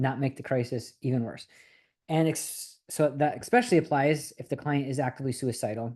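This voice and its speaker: A man's dark, mellow tone with ordinary pitch variation against a quiet background. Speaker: therapist trainer. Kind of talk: lecture. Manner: fast.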